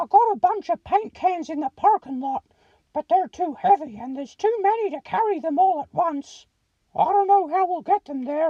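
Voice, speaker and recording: A woman's put-on character voice at an extremely high pitch, lively in intonation and moderate in pace, recorded dry and close with no echo. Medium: read story.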